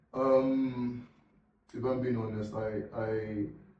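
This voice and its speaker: A man speaks at a medium pitch with a dark, mellow tone, and room echo is audible. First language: non-English language. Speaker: podcast co-host. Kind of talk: casual chat. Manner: halting.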